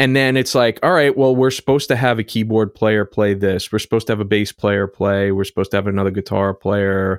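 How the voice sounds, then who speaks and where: Delivered at a very fast pace with hardly any pauses, the speech has fairly even intonation and very even loudness, in a dry, close sound with no echo on a very clean recording with a silent background. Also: man, fairly low pitch for a man. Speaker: recording studio engineer and podcast co-host. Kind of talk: casual chat.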